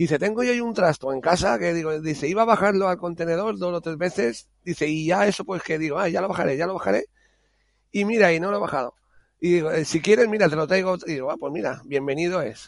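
Against a quiet background, a high-pitched man speaks at a very fast pace with lively intonation. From Spain, Alicante (Monóvar). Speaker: home care worker and hobbyist game developer. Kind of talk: casual interview.

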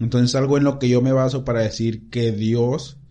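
A man's medium-pitched, dark, mellow and somewhat breathy voice at a moderate pace, against a quiet background. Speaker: church youth podcast host. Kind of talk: casual chat. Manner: stutters at times.

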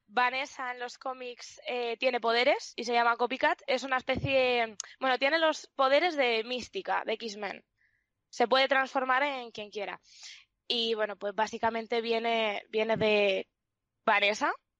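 A woman speaks with a high pitch at a fairly slow pace. The sound is dry and close, with no echo. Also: ordinary pitch variation, quiet background. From Spain, León. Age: 20s. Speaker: streamer. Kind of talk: interview.

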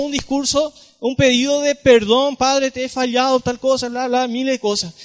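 A man talks at a moderate pace with a Paraguayan accent and an extremely high pitch. His intonation stays fairly even. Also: dry, close sound with no echo. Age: 20s. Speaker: lay youth preacher. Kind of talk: talk at a church youth gathering.

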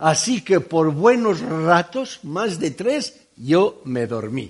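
Speaking very slowly with a Catalan accent, a man uses a high pitch. His pitch swings very widely over a quiet background. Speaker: preacher. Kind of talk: sermon.

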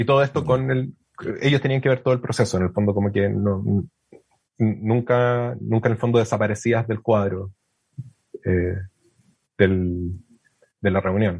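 In a Chilean accent, a man speaks at a fairly slow pace with long, frequent pauses, his fairly low voice somewhat breathy and showing ordinary pitch variation. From southern Chile (Puerto Williams, Puerto Montt). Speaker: astronomy PhD student. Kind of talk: casual interview. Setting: remote call.

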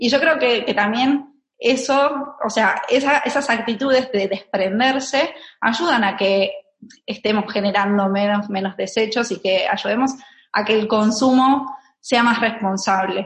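With an Argentine accent, a woman speaks at a fairly slow pace, her loudness very even and her pitch varying in an ordinary way. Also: fairly high pitch for a woman. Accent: Argentine Spanish (Rioplatense). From Argentina. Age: 30s. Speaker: minimalism content creator. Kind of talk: interview. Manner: hesitant, with frequent fillers and repetitions.

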